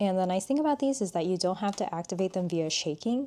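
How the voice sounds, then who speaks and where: A woman's tone is dark and mellow. She uses lively intonation. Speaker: artist and art content creator. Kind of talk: tutorial. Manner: casual, conversational.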